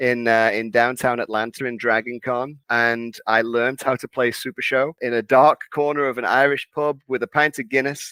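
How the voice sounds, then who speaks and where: Bright and sharp in tone, a man with a Liverpool accent talks at a moderate pace and medium pitch. The sound is dry and close with no echo, on a very clean recording with a silent background. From northern England, Liverpool. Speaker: wrestling card game community organizer. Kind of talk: interview.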